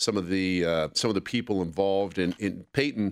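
A man speaks at a moderate pace with a fairly low pitch. He has an ordinary speaking voice and fairly even intonation. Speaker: radio host. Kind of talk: casual radio talk show. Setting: radio studio.

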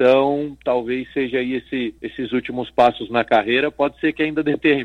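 A man talks at medium pitch with hardly any pauses. His intonation is monotone and flat. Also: moderate pace. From Brazil, Guarujá (Baixada Santista, São Paulo coast). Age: 30s. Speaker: footballer and entrepreneur. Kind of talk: radio interview.

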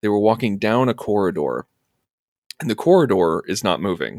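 In a Midwestern American accent, a man talks with vocal fry at a fairly low pitch, the recording very clean with a silent background and a dry, close sound with no echo. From US Midwest, Urbana, Illinois. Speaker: film podcast co-host. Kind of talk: casual chat.

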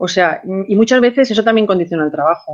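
A woman talks at a fairly quick pace in a medium pitch. Her intonation is lively. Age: 50s. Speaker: interviewee celebrating birthday. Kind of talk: casual chat. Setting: phone call.

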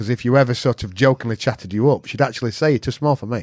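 A man with a Yorkshire accent at medium pitch, very fast, with ordinary pitch variation, in a dry, close recording that is very clean with a silent background. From Yorkshire, northern England. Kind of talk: casual chat.

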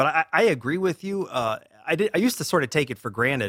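Very fast and with very wide pitch swings, a man speaks in an American accent, the sound dry and close with no echo. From US South, Durham, North Carolina. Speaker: newspaper columnist. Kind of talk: interview.

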